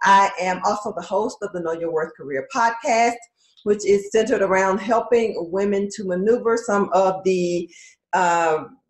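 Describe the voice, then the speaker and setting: This woman uses a normal speaking voice at a medium pitch. She keeps a moderate pace with ordinary pitch variation. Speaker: career coach and podcast host. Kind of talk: live stream talk.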